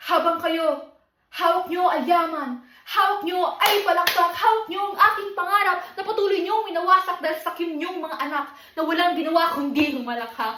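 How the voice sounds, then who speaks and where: A woman's raised, projected voice at an extremely high pitch, bright and sharp in tone, with lively intonation at a moderate pace. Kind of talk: spoken word poetry, a defiant protest piece about inequality in education. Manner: impassioned, defiant, rhythmic and declamatory, building to a forceful close.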